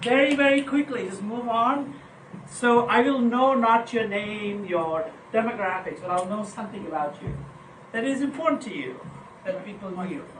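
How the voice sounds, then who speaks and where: A woman's fairly high voice with lively intonation and big swings in loudness, at a moderate pace, amid audible room echo and noticeable background noise. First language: not English. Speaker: meeting facilitator. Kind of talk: casual group discussion. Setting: meeting room with small group, recorded for camera. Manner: animated.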